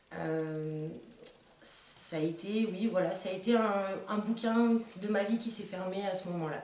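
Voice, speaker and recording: Audible room echo and noticeable background noise surround a woman speaking at a medium pitch and a fairly slow pace, with ordinary pitch variation and long, frequent pauses. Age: 20s. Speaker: patient giving testimony. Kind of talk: testimony. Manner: hesitant, many fillers.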